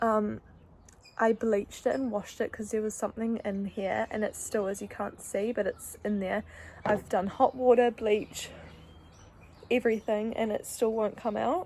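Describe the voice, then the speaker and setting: Her pitch is fairly high and her tone dark and mellow. The woman keeps a moderate pace with fairly even intonation. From New Zealand (Wellington). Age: 20s. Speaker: vlogger, kindergarten teacher. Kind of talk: casual vlog talk.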